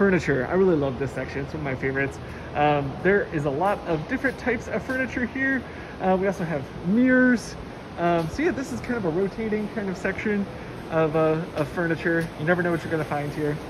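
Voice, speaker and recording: A woman with a fairly low pitch at a very fast pace, amid noticeable background noise. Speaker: warehouse staff guide. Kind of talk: walking tour commentary. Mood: enthusiastic, friendly. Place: shop. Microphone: phone near.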